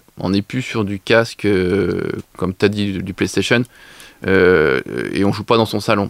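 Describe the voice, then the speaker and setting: A man with an ordinary speaking voice and a fairly low pitch speaks at a fairly slow pace, with a dry, close sound and no echo. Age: 40s. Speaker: leisure business co-owner. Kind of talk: radio interview.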